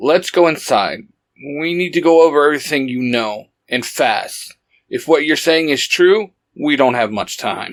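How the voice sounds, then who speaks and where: Using a put-on character voice, a man speaks at a moderate pace with a fairly high pitch and ordinary pitch variation. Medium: read story. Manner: low, terse, commanding.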